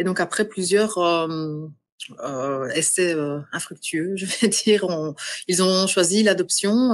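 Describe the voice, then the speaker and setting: Fairly slow delivery in a Belgian accent, with ordinary pitch variation over a quiet background. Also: woman. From Belgium. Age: 40s. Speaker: adoptee. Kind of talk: podcast interview. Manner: halting.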